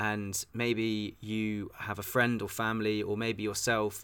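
In a very clean recording with a silent background, a man speaks at medium pitch with a bright, sharp tone. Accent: English. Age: 20s. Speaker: podcast host. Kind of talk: casual chat.

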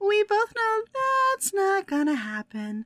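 A woman speaks at an extremely high pitch. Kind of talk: comic audio drama acting. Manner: teasing, giddy, impish.

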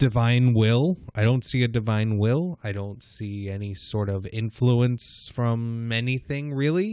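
In a very clean recording with a silent background, a man uses an unremarkable speaking voice at a medium pitch. He talks at a fairly slow pace with ordinary pitch variation. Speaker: podcast co-host. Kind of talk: casual chat. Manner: playful, joking.

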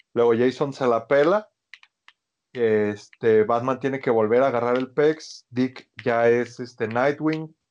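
A man with a Mexican accent, medium-pitched, at a fairly slow pace with fairly even intonation. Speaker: podcast co-host. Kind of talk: casual chat.

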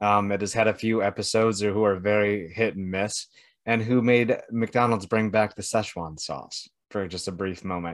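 A man with an ordinary speaking voice, fairly low pitch, fairly even intonation and a moderate pace. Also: quiet background. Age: 30s. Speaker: show co-host. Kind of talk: casual chat. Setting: online video show.

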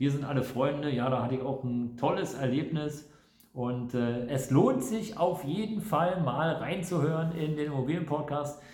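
Noticeable background noise and audible room echo surround a man speaking at a moderate pace, his fairly high voice showing ordinary pitch variation. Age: 50s. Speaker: real estate agent. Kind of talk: casual monologue.

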